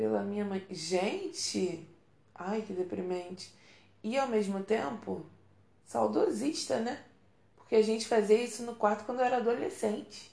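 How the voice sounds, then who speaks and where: A woman at a fairly slow pace. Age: 30s. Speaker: podcast host. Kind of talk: casual monologue. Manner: animated.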